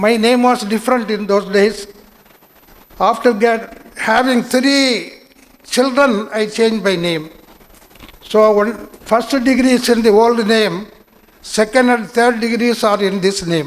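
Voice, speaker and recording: A man with a Tamil accent speaks in a high voice at a fairly slow pace, with fairly even intonation and long, frequent pauses, over noticeable background noise. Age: 80s+. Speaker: invited speaker at student induction. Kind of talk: speech to new students.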